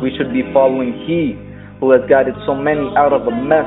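Medium-pitched male speech at a fairly quick pace, with music in the background. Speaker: spoken word poet. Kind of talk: spoken word poetry performance.

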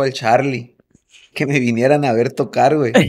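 At a fairly slow pace, a man talks with fairly even intonation. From Mexico, Sonora (Hermosillo); Sonora. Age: 40s. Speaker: drummer; podcast guest. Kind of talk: casual chat. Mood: relaxed storytelling. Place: home room. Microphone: studio mic.

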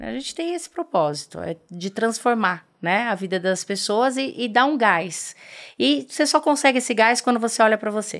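Over a quiet background, a woman with vocal fry speaks at a moderate pace and a fairly high pitch, her pitch swinging very widely. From Brazil, interior of Paraná. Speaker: dentist and aesthetics entrepreneur; podcast guest. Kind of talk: interview. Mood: friendly, smiling. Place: studio. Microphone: studio mic.

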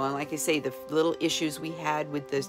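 A woman speaks at a very deep, low pitch with ordinary pitch variation. Clear music plays in the background. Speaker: customer giving product review. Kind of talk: testimonial interview answer. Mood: warm, enthusiastic. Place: home room. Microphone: phone near.

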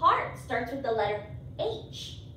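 A woman at a very slow pace, with audible room echo and light background noise. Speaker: early-years teacher. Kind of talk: lesson for young children. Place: classroom. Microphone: camera far.

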